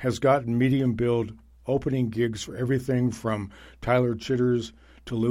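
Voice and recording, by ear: The voice is natural. It is reading aloud.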